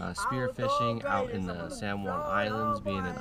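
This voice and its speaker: Delivered at a moderate pace, the speech has a dry sound with no echo and loud background noise. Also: man. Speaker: vlogger. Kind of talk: casual vlog chat. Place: car. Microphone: phone near.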